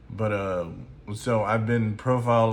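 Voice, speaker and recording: A man's fairly low voice with fairly even intonation amid audible room echo. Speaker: music reviewer. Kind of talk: album review monologue. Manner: slow; halting, many fillers.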